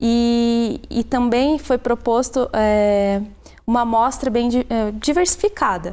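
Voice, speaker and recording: A woman speaks at a high pitch in a dark, mellow tone. Her pace is very slow. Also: ordinary pitch variation, very even loudness. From Brazil, Antonina, Paraná coast; Paraná, Brazil. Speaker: tourism researcher; guest. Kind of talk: interview. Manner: halting. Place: studio. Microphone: lapel.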